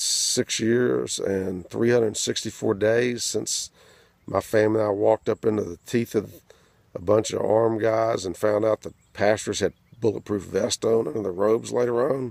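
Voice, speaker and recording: A man's fairly low voice moves at a moderate pace with fairly even intonation, the sound dry and close with no echo. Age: 60s. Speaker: activist. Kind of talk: video message. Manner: informal, hesitant with fillers.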